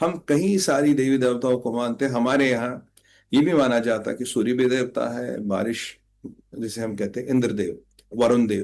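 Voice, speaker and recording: In an ordinary speaking voice, a man talks at a medium pitch with ordinary pitch variation. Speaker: spiritual commentator. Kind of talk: spiritual talk.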